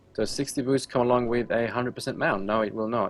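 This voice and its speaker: A man's medium-pitched voice at a very fast pace, with music in the background. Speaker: game server admin. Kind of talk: live stream Q&A. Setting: live stream. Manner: sounds angry or stern by nature; halting, many ums and uhs.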